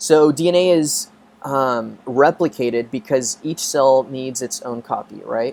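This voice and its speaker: The man has a plain, everyday voice. His medium pitch moves with ordinary variation. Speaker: biology professor. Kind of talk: lecture. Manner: casual, filler-heavy.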